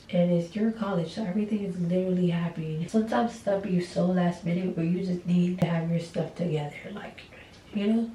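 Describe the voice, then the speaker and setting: A soft-spoken woman whispers at a fairly quick pace over noticeable background noise. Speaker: college student vlogger. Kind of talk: casual chat. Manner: quiet, near whispering.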